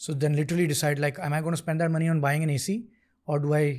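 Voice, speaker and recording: Somewhat breathy, a man talks at a very fast pace in a very clean recording with a silent background. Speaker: tech startup founder and CEO. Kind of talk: interview conversation. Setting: studio.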